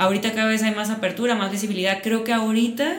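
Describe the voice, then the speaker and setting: In a room with audible echo, a woman speaks at a medium pitch with a slight Sinaloan accent. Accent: Sinaloan Mexican Spanish, slight. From Mexico, Sinaloa (Mazatlán). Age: 20s. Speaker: content creator. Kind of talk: casual chat. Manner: animated.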